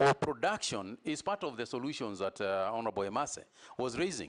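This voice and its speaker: This man's pitch swings very widely. He speaks fairly quickly. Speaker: cabinet nominee. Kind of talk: parliamentary vetting hearing. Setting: parliament committee room. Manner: fast.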